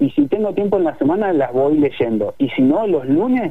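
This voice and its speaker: A man with an unremarkable speaking voice, lively intonation and a moderate pace. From Argentina, Neuquén. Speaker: digital product director. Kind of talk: radio interview.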